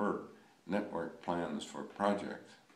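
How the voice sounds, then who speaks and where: Audible room echo follows a man whose pitch is fairly low. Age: 90s. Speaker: project management pioneer, speaker. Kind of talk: recorded presentation with slides. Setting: remote recorded talk for audience. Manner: formal.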